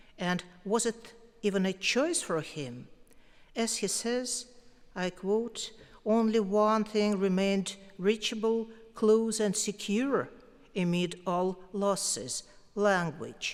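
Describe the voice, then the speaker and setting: Delivered at a very slow pace with long, frequent pauses, the speech has ordinary pitch variation. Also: woman, medium pitch for a woman. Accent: Russian. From Russia, Moscow. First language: Russian. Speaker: poet, award winner. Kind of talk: acceptance speech. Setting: concert hall stage with audience.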